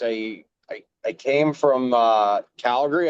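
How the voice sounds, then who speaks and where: A man with a Canadian Prairie accent, medium pitch, and a dry, close sound with no echo. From rural Saskatchewan, Canada. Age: 40s. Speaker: former provincial politician and farmer. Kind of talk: interview.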